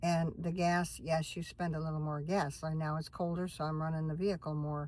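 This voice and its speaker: Somewhat breathy, a woman speaks at a fairly low pitch and a moderate pace. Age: 60s. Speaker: van-dwelling vlogger. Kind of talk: casual chat. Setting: in a van. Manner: rambling, conversational.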